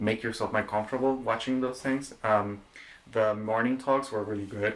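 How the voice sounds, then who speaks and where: With a Spanish accent, a man talks at a moderate pace in a monotone, flat intonation at a medium pitch. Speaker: podcast host. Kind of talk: casual chat.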